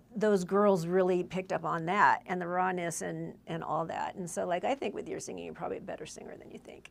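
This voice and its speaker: A woman with an American accent talks at a fairly quick pace with hardly any pauses. Her loudness swings widely. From Southern California, Whittier. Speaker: singer-songwriter. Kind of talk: casual chat.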